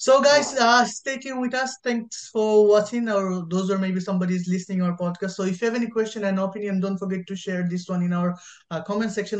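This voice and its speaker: A man with a high pitch talks at a fairly quick pace with hardly any pauses and fairly even intonation, over a quiet background. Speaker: podcast host. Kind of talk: casual chat. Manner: halting. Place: home room. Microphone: video call.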